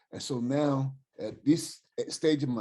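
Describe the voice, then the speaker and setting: The voice is somewhat breathy, with a dark, mellow tone and an American accent. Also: man. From US West Coast (Oakland, California). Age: 60s. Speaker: caller. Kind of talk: Q&A question to a guest speaker. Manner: animated.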